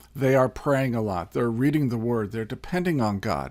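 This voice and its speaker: A man with a normal speaking voice and an American accent, medium pitch, lively intonation, on a very clean recording with a silent background. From US Midwest, Indiana. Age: 60s. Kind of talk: Bible teaching talk. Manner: conversational with fillers.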